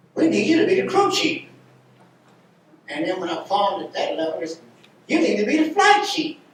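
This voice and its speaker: With an American accent, the speaker's pitch swings very widely, heard with audible room echo and noticeable background noise. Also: man. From Cincinnati, US Midwest. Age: 90s. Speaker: war veteran. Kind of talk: testimony.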